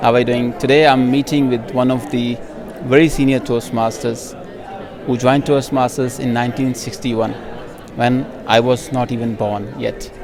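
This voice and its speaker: Amid noticeable background noise and audible room echo, the voice keeps a monotone, flat intonation at a moderate pace. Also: man, medium pitch for a man. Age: 30s. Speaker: interviewer. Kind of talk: interview.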